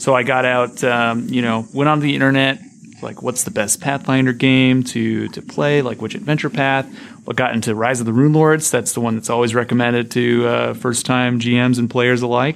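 An unremarkable speaking voice at a moderate pace. The intonation stays fairly even. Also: man, medium pitch for a man. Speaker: guest game master. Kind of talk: casual chat. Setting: studio.

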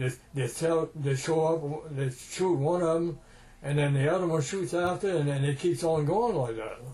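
This man has a Cajun accent and a fairly high pitch. He talks at a moderate pace. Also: ordinary pitch variation. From Louisiana, US South (Cajun). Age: 80s+. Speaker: war veteran. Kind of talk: oral history interview storytelling.

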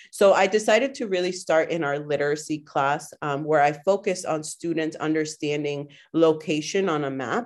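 With hardly any pauses, a woman talks at a moderate pace in a very deep, low pitch, her pitch varying in an ordinary way over a quiet background. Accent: Spanish. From Guatemala, raised in Waltham, Massachusetts from age seven. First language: Spanish. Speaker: middle school teacher. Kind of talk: interview conversation.

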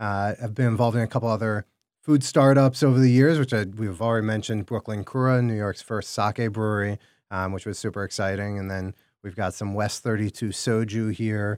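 In a normal speaking voice with an American accent, a man talks at a fairly quick pace and fairly low pitch with fairly even intonation, on a very clean recording with a silent background and a dry, close sound with no echo. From Chicago, US Midwest. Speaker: food entrepreneur. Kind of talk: casual interview. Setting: studio.

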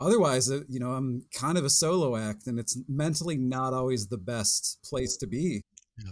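A man with a plain, everyday voice at medium pitch talks at a moderate pace on a very clean recording with a silent background. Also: ordinary pitch variation. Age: 30s. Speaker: patient with rare muscle disease. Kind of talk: interview testimony.

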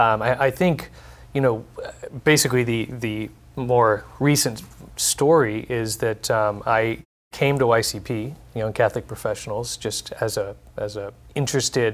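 A man with an American accent and an ordinary speaking voice talks at a fairly slow pace and medium pitch. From Texas. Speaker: nonprofit executive. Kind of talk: panel discussion. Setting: studio.

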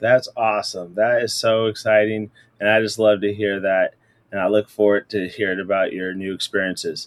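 A normal speaking voice from a man, medium in pitch and moderate in pace, with a dry, close sound and no echo. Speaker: podcast host, educator. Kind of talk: interview conversation.

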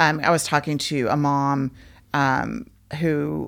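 The speaker's lively intonation is laced with vocal fry. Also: woman. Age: 50s. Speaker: podcast host. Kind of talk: casual interview chat.

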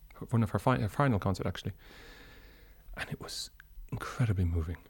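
A man with an Irish accent talks at a fairly quick pace in a fairly low, somewhat breathy voice with lively intonation. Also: very clean recording, silent background. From Ireland. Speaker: opera and song tenor. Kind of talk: interview.

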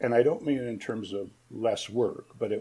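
A man with an American accent, dark, mellow tone and fairly slow pace. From US Midwest, Ann Arbor, Michigan. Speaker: fiction writer. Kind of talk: interview. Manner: halting, many fillers.

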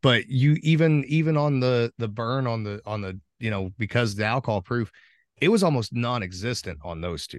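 In a normal speaking voice with an American accent, a man talks at a moderate pace and medium pitch with lively intonation, the sound dry and close with no echo against a quiet background. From southern Indiana. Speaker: head distiller. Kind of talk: casual chat. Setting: video call.

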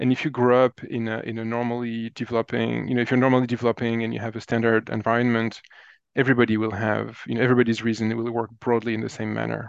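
Someone with a French accent talks at a very fast pace in a flat monotone. The background is quiet. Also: man, medium pitch for a man. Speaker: cognitive scientist. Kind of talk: interview conversation.

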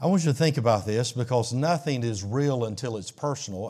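A man speaks in an unremarkable speaking voice, his medium pitch shifting in an ordinary way. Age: 60s. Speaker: pastor. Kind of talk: sermon.

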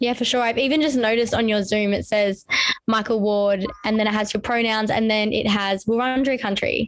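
A woman speaks at a fairly high pitch and a fairly quick pace with an Australian accent. Her loudness stays very even and her intonation fairly even. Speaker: podcast host. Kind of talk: casual interview chat.

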